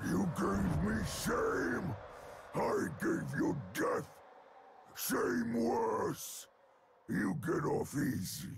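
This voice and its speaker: Shouting in a raspy, put-on character voice, a man speaks at a very slow pace with long, frequent pauses. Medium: dub. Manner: angry, shouting, broken grammar.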